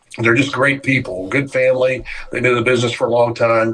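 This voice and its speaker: Over noticeable background noise, a man talks at medium pitch with monotone, flat intonation. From moved around as an Army child, born in Japan. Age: 60s. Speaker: distillery owner. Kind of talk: podcast interview. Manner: frequent filler words and repetitions.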